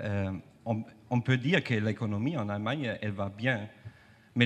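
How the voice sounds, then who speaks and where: The speaker has a non-native accent and ordinary pitch variation. The pace is fairly slow. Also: man. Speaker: trade unionist. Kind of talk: panel discussion. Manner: halting.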